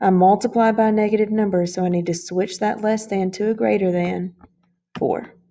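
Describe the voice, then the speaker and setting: Fairly even in intonation, a woman speaks in a dark, mellow tone. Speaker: math teacher. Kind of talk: tutorial. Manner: fast.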